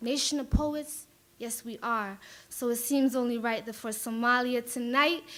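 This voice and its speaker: At a moderate pace, a woman with a high pitch speaks with big swings in loudness. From Minneapolis, Somali diaspora. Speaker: spoken word poet. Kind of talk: spoken word poetry performance. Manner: animated.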